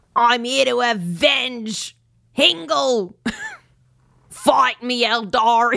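In a put-on character voice with an Australian accent, a female-sounding voice speaks at a high pitch and a very slow pace. Long pauses come often. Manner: fierce, challenging.

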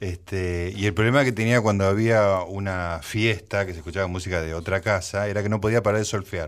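A man with a Rioplatense accent talks at a fairly quick pace with hardly any pauses, his fairly low pitch following a fairly even intonation. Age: 60s. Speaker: radio host. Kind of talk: radio talk show. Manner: halting.

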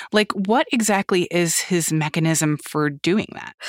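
A woman speaks in a plain, everyday voice, fairly low in pitch and at a fairly slow pace. The sound is dry and close, with no echo. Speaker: podcast host. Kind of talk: news podcast.

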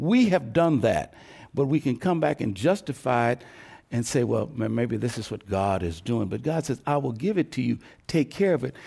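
A man's dark, mellow voice with vocal fry and an American accent, medium in pitch with very wide swings, at a moderate pace on a very clean recording with a silent background. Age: 70s. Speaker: pastor and civil rights veteran. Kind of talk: panel discussion. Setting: stage with audience.

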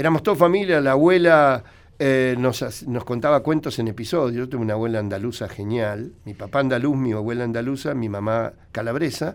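In a very clean recording with a silent background, a man talks in an ordinary speaking voice at medium pitch, with ordinary pitch variation and a fairly quick pace. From Argentina, Buenos Aires. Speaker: veterinarian and radio commentator. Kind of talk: radio interview, storytelling.

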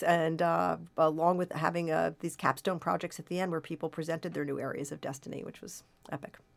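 The recording is very clean, with a silent background. A woman speaks at a fairly low pitch with audible vocal fry. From US Pacific Northwest (Portland, Oregon). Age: 60s. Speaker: professor. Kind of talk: interview.

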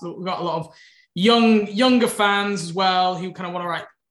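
The speaker talks with an English accent at a fairly quick pace. The background is quiet. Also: man. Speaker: podcast co-host. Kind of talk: casual chat and interview.

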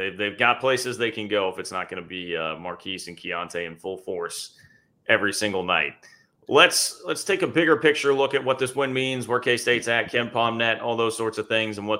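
Here is an unremarkable speaking voice. A man at a medium pitch goes at a fairly quick pace with ordinary pitch variation. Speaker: podcast host, moderator. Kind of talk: casual sports analysis chat. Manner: upbeat, conversational, quick banter.

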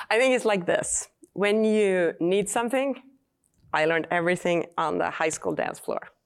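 With a Swedish accent, a woman talks at a moderate pace in a medium pitch, her loudness very even and her pitch variation ordinary. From Sweden. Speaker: battery company founder and chemist. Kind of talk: live interview. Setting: stage with audience.

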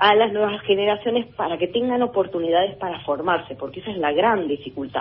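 A woman with an Argentine accent speaks at a fairly quick pace. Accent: Rioplatense Argentine Spanish. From Argentina, Tandil (Buenos Aires province). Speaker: orchestra conductor. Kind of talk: interview.

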